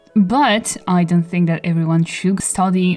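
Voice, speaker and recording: Noticeable background noise sits behind a woman whose voice is fairly low in pitch. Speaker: artist and video creator. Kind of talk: voice-over commentary. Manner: casual, rambling.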